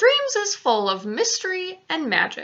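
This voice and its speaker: Using a put-on character voice, a woman talks at a fairly slow pace with an extremely high pitch. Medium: read story. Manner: ungrammatical, quirky invented words.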